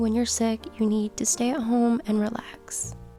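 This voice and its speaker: A woman's voice with music in the background. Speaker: lifestyle vlogger. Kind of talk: casual talk to camera.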